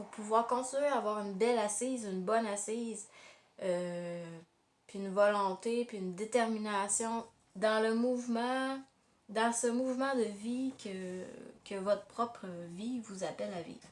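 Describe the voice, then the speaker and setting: Fairly slow speech in a Quebec accent, with long, frequent pauses, fairly even intonation and big swings in loudness. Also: woman, fairly high pitch for a woman. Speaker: tarot card reader. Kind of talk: tarot reading monologue. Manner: halting, many hesitations.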